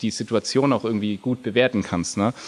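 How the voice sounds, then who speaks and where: With ordinary variation in his pitch, a man talks at a medium pitch. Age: 30s. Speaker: video game company founder and theologian. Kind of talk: casual interview.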